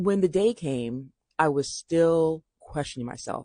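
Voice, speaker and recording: A woman with a dark, mellow tone speaks with lively intonation in a dry, close recording with no echo. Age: 50s. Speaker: business owner and vlogger. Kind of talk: personal vlog monologue. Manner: fast.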